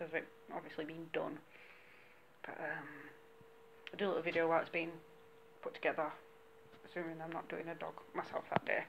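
A woman with low pitch and vocal fry talks at a fairly quick pace over faint background noise.

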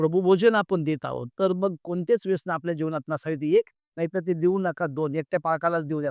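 The sound is dry and close, with no echo. A man speaks at a high pitch with fairly even intonation. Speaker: pastor. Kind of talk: sermon.

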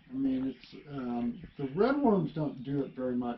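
Noticeable background noise runs under this man's voice. His pitch varies in an ordinary way. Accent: American. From US South, Alabama. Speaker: worm farmer and musician. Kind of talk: casual interview. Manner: halting, many fillers.

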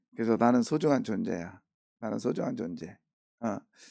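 Dark, mellow tone captured in a very clean recording against a silent background. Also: man. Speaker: pastor. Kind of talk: sermon. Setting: church. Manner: casual, halting with fillers.

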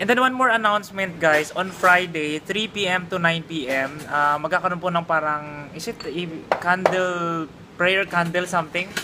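Fairly slow speech with ordinary pitch variation over noticeable background noise. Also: man, high pitch for a man. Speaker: vlogger. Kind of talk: casual vlog talk.

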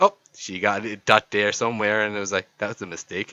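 This man has an Irish accent and a fairly low pitch. He talks at a fairly quick pace in an animated tone. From Ireland. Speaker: YouTuber friend doing a comic voiceover. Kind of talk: comedic voiceover commentary. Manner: animated, exclamatory.

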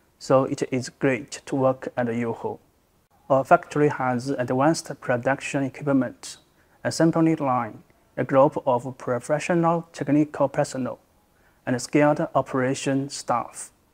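With fairly even intonation, a man talks fairly slowly. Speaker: sales manager. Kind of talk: interview answer. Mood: calm, earnest. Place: office. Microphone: lapel.

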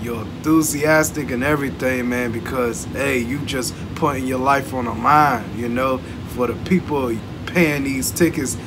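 Music runs in the background. Over it, a man speaks at a moderate pace. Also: ordinary pitch variation. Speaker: reaction video creator. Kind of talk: casual reaction commentary. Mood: relaxed, admiring. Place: home room.

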